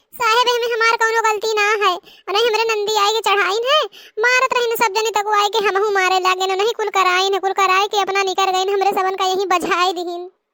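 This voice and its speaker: Using a cartoonish character voice, a woman talks at an extremely high pitch and a fairly quick pace, with fairly even intonation and hardly any pauses. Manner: conspiratorial, coarse.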